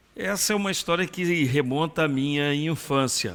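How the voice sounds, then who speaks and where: A man is speaking. The recording is very clean and the background silent. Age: 60s. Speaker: retired pastor and missionary. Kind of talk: interview testimony.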